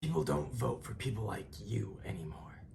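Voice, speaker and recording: Putting on a character voice, a man talks in a raspy, very deep, low register at a moderate pace, his pitch swinging very widely over light background noise. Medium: audio drama. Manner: cocky, joking.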